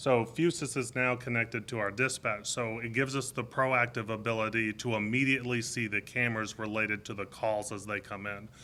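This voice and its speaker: A loud man's voice at medium pitch, fairly quick with hardly any pauses, bright and sharp in tone, with fairly even intonation. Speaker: deputy police chief. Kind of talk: press conference. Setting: press briefing with media.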